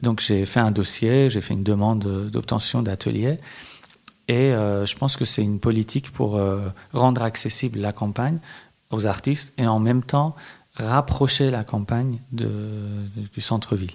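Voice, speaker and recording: Speaking with a Persian accent, a man keeps a medium pitch and fairly even intonation. He goes at a fairly slow pace with long, frequent pauses. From Iran, Tehran, moved to France at 12. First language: Persian (speaking French). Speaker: visual artist. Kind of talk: interview. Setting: hotel room. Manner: halting, many hesitations.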